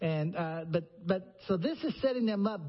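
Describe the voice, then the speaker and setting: Speaking at a fairly slow pace, a man with an American accent uses a high pitch and lively intonation. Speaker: preacher. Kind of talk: sermon. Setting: church.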